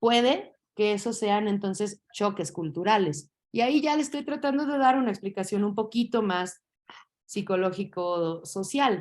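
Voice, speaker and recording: With a normal speaking voice, a woman at medium pitch talks at a fairly slow pace with lively intonation on a very clean recording with a silent background. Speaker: teacher. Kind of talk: lecture.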